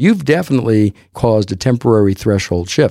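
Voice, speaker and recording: A man speaks with an American accent in a fairly low pitch. His tone is dark and mellow, and his intonation is lively. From Texas. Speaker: audiologist and musician. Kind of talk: interview.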